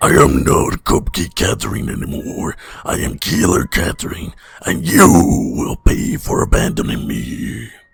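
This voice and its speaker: A man's raspy, put-on character voice, very deep and low, at a moderate pace. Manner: menacing.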